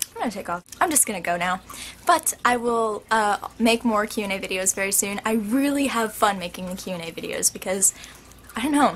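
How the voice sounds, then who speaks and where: Noticeable background noise sits under a woman whose fairly high voice makes very wide pitch swings. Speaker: YouTuber answering viewer questions. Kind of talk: casual Q&A vlog. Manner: animated.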